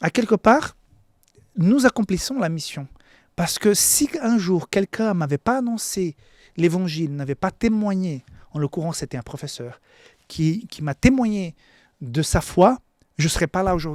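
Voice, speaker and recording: With a non-native accent, a man speaks at a fairly slow pace in a high voice with lively intonation, leaving long, frequent pauses, in a very clean recording with a silent background and a dry, close sound with no echo. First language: not French (speaking French). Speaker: pastor. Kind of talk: Bible lesson sermon. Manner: halting, frequent repetitions.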